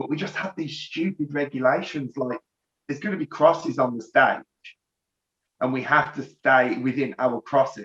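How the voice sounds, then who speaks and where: Speaking at a moderate pace with ordinary pitch variation, a man talks in a Birmingham accent. The sound is dry and close, with no echo. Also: fairly high pitch for a man. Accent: Birmingham (Brummie) English. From Birmingham area, England. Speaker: rock band lead singer. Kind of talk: casual interview.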